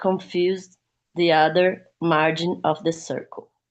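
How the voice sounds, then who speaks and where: A woman with a non-native accent speaks at a very slow pace. The background is quiet. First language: not English. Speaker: study group participant. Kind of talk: reading aloud.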